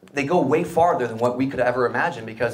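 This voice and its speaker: A man with an American accent talks at a very fast pace and a medium pitch, with audible room echo around him. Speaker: startup founder and CEO. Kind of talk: live interview on stage. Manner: animated.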